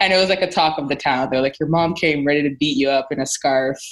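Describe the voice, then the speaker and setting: With a Canadian accent, a woman with a very deep, low voice talks at a fairly quick pace and lively intonation over a quiet background. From Nigeria. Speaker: podcast host. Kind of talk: casual chat. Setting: video call. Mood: amused, laughing while telling story.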